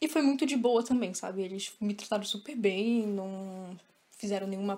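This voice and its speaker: A woman's dark, mellow tone at a fairly high pitch. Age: 20s. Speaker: podcast guest, listener. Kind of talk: casual chat.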